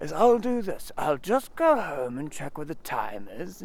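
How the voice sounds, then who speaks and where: A man puts on a character voice with a high pitch. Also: moderate pace. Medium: read story. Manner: simple, good-natured.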